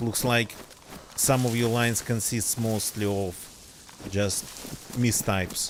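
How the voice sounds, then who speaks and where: A man's medium-pitched, monotone, flat voice at a fairly slow pace, with very even loudness, long, frequent pauses and noticeable background noise. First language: not English. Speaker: gaming streamer. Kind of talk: casual live stream chat. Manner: hesitant, many fillers.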